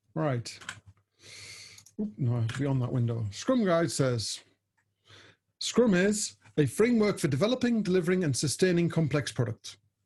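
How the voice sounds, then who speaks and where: Speaking at a moderate pace with a northeast English accent, a man uses a high pitch with very wide swings and long, frequent pauses. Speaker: agile coach and trainer. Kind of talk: webinar presentation. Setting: video call. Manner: casual, conversational.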